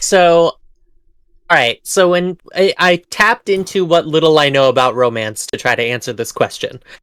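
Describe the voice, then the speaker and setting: An American accent at a moderate pace, on a very clean recording with a silent background. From Boston, US. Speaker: board game player on a live stream. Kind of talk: casual chat while playing a game.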